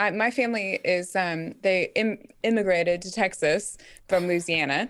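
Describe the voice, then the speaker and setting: In a very clean recording with a silent background, a woman talks in a normal speaking voice at a medium pitch with ordinary pitch variation. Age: 30s. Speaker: New Testament scholar. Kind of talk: casual chat.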